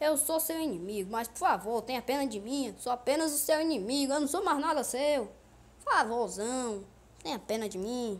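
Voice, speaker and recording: A woman in a whiny, put-on character voice speaks at a moderate pace, her high pitch moving with lively intonation. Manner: mock pleading, whiny.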